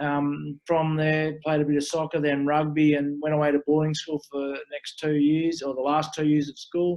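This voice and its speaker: A man with an Australian accent, fairly high-pitched and monotone with flat intonation, at a moderate pace. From rural New South Wales, Australia. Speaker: former pro rugby player, business coach. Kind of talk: interview. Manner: hesitant, many fillers.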